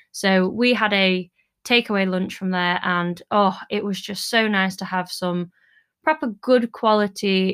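In a British accent, a woman talks at a medium pitch on a very clean recording with a silent background. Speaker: podcast host, dance business owner. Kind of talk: solo monologue; casual chat.

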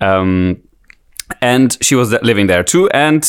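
A man with a German accent, at a moderate pace, with lively intonation. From Germany. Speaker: musician. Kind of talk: casual chat.

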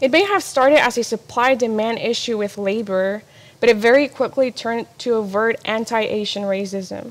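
Here a woman with a fairly high pitch and ordinary pitch variation talks at a moderate pace in a plain, everyday voice. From Mexico-born, raised in US from age three. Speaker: ministry apprentice. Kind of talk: personal testimony talk.

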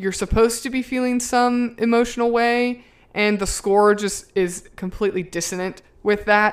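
In a very clean recording with a silent background, a woman with an American accent talks at a moderate pace in an unremarkable speaking voice with fairly even intonation. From US South. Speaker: podcast co-host. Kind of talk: casual chat.

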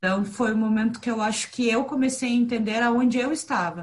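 The pace of this unremarkable speaking voice is fairly quick. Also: woman. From southern Brazil, raised in Curitiba. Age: 30s. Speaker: podcast co-host, entrepreneur. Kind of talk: casual group conversation.

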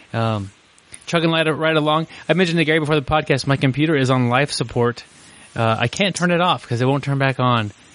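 A man talks at a very fast pace with ordinary pitch variation. Noticeable background noise runs under his voice. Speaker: podcast co-host. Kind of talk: casual chat.

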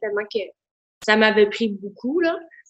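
An ordinary speaking voice from a woman, fairly high in pitch, at a moderate pace. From Quebec, Outaouais. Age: 40s. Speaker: school remedial teacher, gym member. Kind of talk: casual interview.

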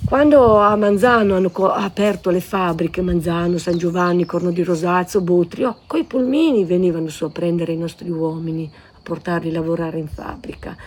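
Against noticeable background noise, a woman talks at a moderate pace with hardly any pauses and big swings in loudness. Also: fairly low pitch for a woman, ordinary pitch variation. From Natisone valleys, Friuli (Mersino, Pulfero). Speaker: local resident sharing memories. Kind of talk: interview, personal recollection.

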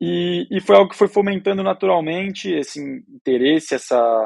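A man is speaking. His pace is moderate. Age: 20s. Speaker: young cattle rancher and family business successor. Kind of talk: podcast interview. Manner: halting, many fillers.

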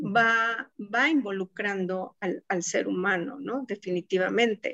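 A woman speaks at a very slow pace in a Mexico City accent. Her voice has ordinary pitch variation. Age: 50s. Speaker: telecommunications engineer. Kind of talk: interview conversation. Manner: hesitant with fillers.

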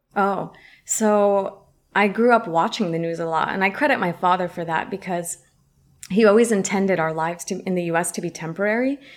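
A woman with an American accent, medium pitch and ordinary pitch variation at a fairly quick pace, on a very clean recording with a silent background. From US West Coast, San Francisco. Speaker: journalist and video presenter. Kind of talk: casual interview chat.

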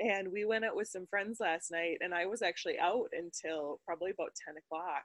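In a plain, everyday voice, a woman speaks at a medium pitch with fairly even intonation, the sound dry and close with no echo. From US Midwest, Wisconsin. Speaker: podcast co-host. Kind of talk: casual chat.

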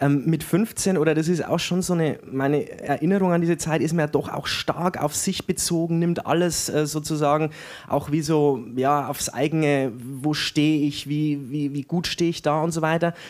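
This man has an unremarkable speaking voice with a fairly high pitch. He keeps a moderate pace and fairly even intonation. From Franconia, Germany (Erlangen), raised in Weiden, Upper Palatinate. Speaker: novelist, writing teacher. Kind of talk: interview at live reading.

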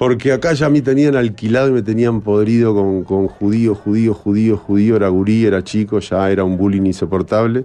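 A man with a fairly low, dark, mellow voice talks at a moderate pace with hardly any pauses, very even loudness and ordinary pitch variation. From Uruguay, Cerro of Montevideo. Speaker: film director. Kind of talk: casual interview chat.

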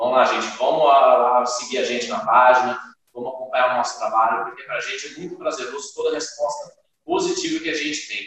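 A man at a very fast pace, with audible room echo. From Brazil, Silveiras (São Paulo state). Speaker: band leader, singer and guitarist. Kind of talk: interview.

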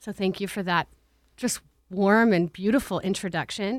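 In a very clean recording with a silent background, a woman with an American accent uses an unremarkable speaking voice at medium pitch and a moderate pace. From Tucson, Arizona. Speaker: nonprofit director. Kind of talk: interview.

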